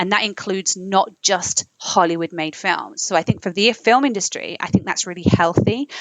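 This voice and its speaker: This woman has an American accent. Her pitch sits in the medium range. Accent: southern English, slight American tinge. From London. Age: 20s. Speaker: singer-songwriter and filmmaker. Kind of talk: casual interview chat.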